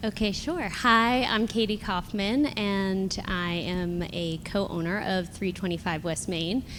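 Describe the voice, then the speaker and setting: This woman has an unremarkable speaking voice at medium pitch with ordinary pitch variation. She speaks at a fairly slow pace with hardly any pauses. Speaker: property developer. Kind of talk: live panel discussion. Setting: live event with audience.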